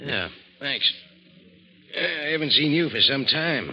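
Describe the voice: Using a put-on character voice, a man talks at a fairly slow pace with medium pitch, lively intonation and a bright, sharp tone.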